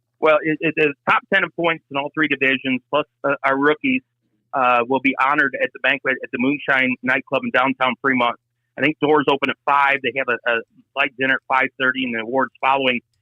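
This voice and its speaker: An unremarkable speaking voice with an American accent, a fairly quick pace, fairly even intonation and very even loudness. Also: man, fairly high pitch for a man. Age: 60s. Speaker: race track announcer. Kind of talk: casual chat.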